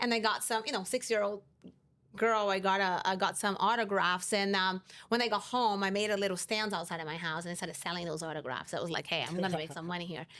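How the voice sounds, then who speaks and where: A woman's bright, sharp, medium-pitched voice with a Brazilian Portuguese accent, very fast pace and ordinary pitch variation. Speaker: insurance company CEO. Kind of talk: interview.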